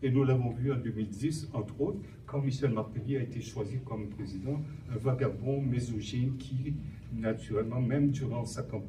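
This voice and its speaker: Audible room echo surrounds a man's medium-pitched voice. He talks at a moderate pace with fairly even intonation. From Haiti. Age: 60s. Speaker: human rights activist. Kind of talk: panel talk.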